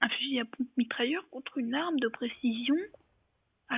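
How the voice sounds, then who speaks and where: A soft-spoken woman with a high-pitched voice. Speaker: gaming youtuber. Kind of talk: gameplay commentary. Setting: at home. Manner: speaking softly.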